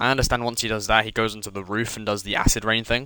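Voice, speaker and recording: A man with a British accent, fairly low pitch and a bright, sharp tone, at a very fast pace. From Britain. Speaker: gaming streamer, speedrunner. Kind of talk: live gameplay commentary. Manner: casual, halting with repetitions.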